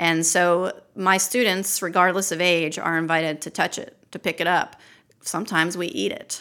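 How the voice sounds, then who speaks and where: A woman with an American accent, fairly low in pitch, bright and sharp in tone, fairly even in intonation, at a moderate pace, on a very clean recording with a silent background. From Maryland, Baltimore. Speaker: naturalist and wildlife educator. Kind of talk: casual interview. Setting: on site at outdoor venue.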